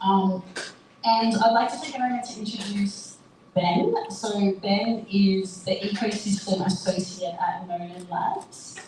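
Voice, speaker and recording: A woman with an Australian accent speaks at a fairly slow pace and medium pitch, with fairly even intonation. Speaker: panel moderator, marketing agency founder. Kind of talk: panel moderation at live event. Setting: live event with audience.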